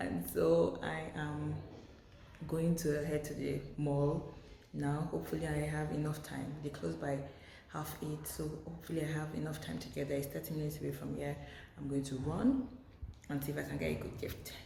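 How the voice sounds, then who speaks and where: A woman whispers at a moderate pace amid noticeable background noise and audible room echo. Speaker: lifestyle vlogger. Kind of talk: casual vlog. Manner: whispering.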